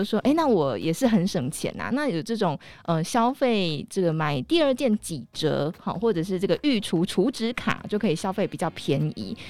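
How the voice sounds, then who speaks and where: Woman's voice with very wide pitch swings at a fairly quick pace, hardly any pauses, on a very clean recording with a silent background. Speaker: podcast host. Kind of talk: casual interview.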